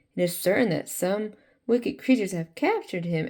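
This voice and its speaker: A raspy, female-sounding put-on character voice at medium pitch for a woman. It moves at a fairly quick pace. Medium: read story. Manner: thoughtful.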